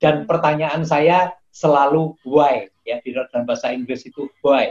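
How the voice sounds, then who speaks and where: A man's fairly high voice comes through dry and close, with no echo. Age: 60s. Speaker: professor and acupuncture doctor. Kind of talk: interview. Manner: halting, with frequent fillers.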